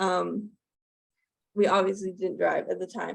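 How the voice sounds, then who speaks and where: The woman talks at a moderate pace. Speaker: collab channel youtuber. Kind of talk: casual chat. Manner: halting.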